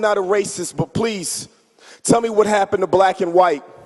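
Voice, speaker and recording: A man's passionate, fairly quick delivery with fairly even intonation over noticeable background noise. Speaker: church member performing spoken word. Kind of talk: spoken word poetry performance at church. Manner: passionate, rhythmic.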